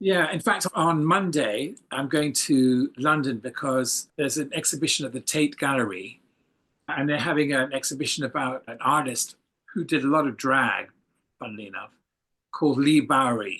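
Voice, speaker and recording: A man with an English accent speaks at a moderate pace in a fairly high, bright, sharp voice with ordinary pitch variation. The background is quiet. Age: 70s. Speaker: photographer. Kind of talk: casual interview.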